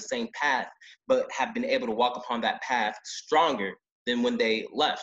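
Moderate pace from a man, quiet background behind him. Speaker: youth debate student. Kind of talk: panel discussion. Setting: video call. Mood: earnest, emotional, reflective. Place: home room. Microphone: video call.

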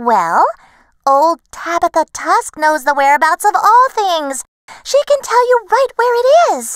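A woman's put-on character voice, extremely high in pitch with very wide pitch swings, in a dry, close recording with no echo. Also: fairly slow pace. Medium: read story.

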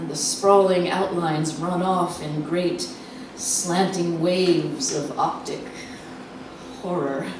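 Speaking at a very slow pace, a woman has a fairly low pitch and fairly even intonation. Audible room echo and noticeable background noise surround her voice. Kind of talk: dramatic reading. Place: stage. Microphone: handheld.

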